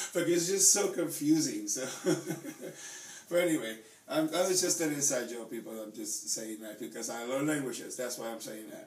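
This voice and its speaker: The speech has lively intonation and big swings in loudness, with audible room echo and noticeable background noise. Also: man, fairly high pitch for a man, moderate pace. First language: Spanish. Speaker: YouTuber with Tourette syndrome. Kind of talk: casual chat. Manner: halting, with stammered repetitions.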